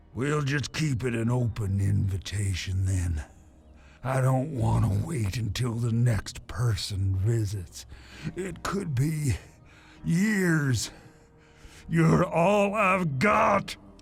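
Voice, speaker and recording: With music in the background, a man in a put-on character voice speaks very slowly at a medium pitch, making very wide pitch swings and long, frequent pauses. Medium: video game. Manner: chatty, wry, laughing softly.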